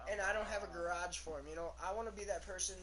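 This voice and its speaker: A man races along at a very fast pace, with audible room echo and noticeable background noise around him. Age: 18. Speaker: gamer streamer. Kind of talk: casual chat.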